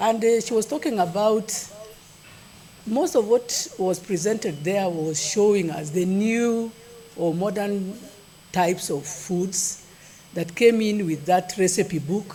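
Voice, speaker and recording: A woman at medium pitch, very slow pace with long, frequent pauses, and ordinary pitch variation. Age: 60s. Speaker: nutrition expert giving a keynote. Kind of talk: keynote speech at a conference. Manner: conversational, with some halting repetitions.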